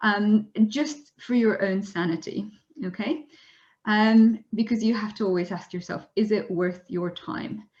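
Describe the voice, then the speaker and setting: A woman speaks at a fairly slow pace with a fairly high pitch. Her voice is somewhat breathy, with ordinary pitch variation. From Poland. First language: Polish. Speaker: zoologist and science communicator. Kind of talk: webinar presentation. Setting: online webinar. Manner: frequent fillers and restarts.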